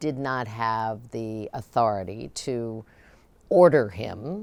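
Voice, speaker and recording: In a Midwestern American accent, a woman speaks at a very deep, low pitch with lively intonation. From Ohio. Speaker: former state governor and cabinet secretary. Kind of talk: oral history interview answer.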